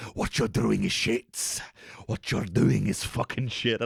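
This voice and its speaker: A put-on character voice from a man at a medium pitch. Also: fairly slow pace. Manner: harsh, berating.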